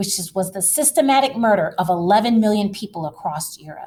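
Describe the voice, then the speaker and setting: A woman speaks in a fairly high pitch with an animated tone. Her voice is somewhat breathy. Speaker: teacher. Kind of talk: lecture.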